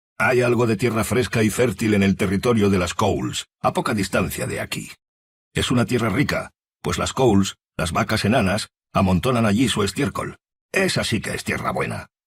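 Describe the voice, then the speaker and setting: Putting on a grumpy character voice, a man rumbles along at a moderate pace, pitched fairly low. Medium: read story. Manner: grumpy, grumbling.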